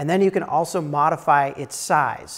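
A man talks at a moderate pace. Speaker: timber framing instructor. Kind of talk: lecture. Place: classroom. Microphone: lapel.

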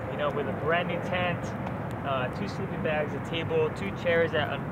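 A man at a moderate pace, dry sound with no echo, over loud background noise. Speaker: outdoor vlogger. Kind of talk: casual vlog chat.

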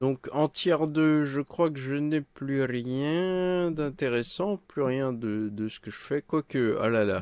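A man speaks very slowly with ordinary pitch variation. The sound is dry with no echo and the background is quiet. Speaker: gaming streamer. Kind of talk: live gameplay commentary. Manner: animated.

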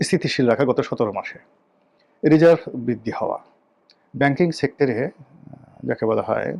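Vocal fry marks this man's fairly high-pitched voice. His intonation is lively. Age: 50s. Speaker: political commentator. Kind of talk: political commentary monologue.

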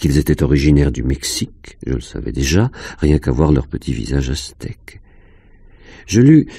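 A man speaks in an intense, dark, mellow tone with vocal fry. His pitch swings very widely. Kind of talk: audiobook reading of a first-person fantastic short story. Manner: slow, hushed, dreamy, intense narration.

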